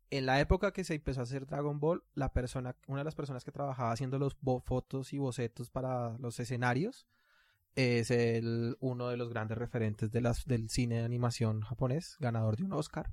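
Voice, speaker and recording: On a very clean recording with a silent background, a man with a plain, everyday voice talks fairly quickly at medium pitch with fairly even intonation. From Latin America. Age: 30s. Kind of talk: casual chat.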